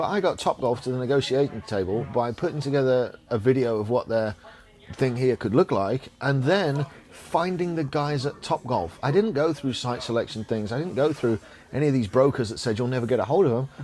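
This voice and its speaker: A man speaks with a strong English accent and lively intonation. Music plays in the background. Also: medium pitch for a man, fairly quick pace. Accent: English, thick. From England. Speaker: podcast host and business owner. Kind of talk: casual chat. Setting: cigar lounge. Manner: animated.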